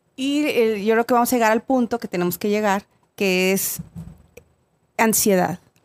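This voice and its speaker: A woman with a Mexican accent speaks at a moderate pace with long, frequent pauses, a fairly high pitch, ordinary pitch variation, and very even loudness. The recording is very clean and dry, close with no echo, and the background is silent. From Mexico. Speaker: podcast guest. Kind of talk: casual chat.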